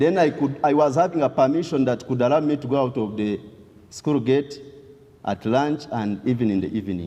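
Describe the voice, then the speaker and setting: Speaking at a moderate pace in a western Ugandan accent, a man uses ordinary pitch variation. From southwestern Uganda (Ntungamo). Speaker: testimony speaker. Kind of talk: testimony.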